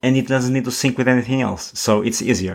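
A man of medium pitch delivers his words at a fairly quick pace, with ordinary pitch variation. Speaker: podcast host. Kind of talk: casual chat. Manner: animated, laughs often.

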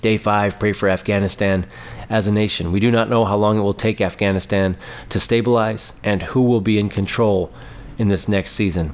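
In a monotone, flat intonation, a man speaks at a moderate pace and fairly low pitch, keeping his loudness very even. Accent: American. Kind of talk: fervent intercessory prayer, petitioning God for Afghanistan's believers. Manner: earnest, repetitive 'Lord... Father...' cadence, pleading tone; halting with frequent fillers and repeated words.

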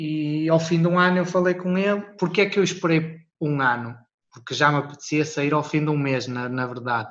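At a moderate pace, a man uses a normal speaking voice with fairly high pitch and ordinary pitch variation. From Portugal. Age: 30s. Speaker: wedding videographer. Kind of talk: interview.

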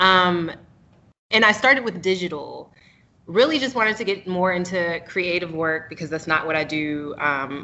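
A woman with an American accent has a plain, everyday voice at a fairly low pitch. She talks at a moderate pace with ordinary pitch variation. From North Carolina (Raleigh). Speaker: photographer. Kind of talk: interview.

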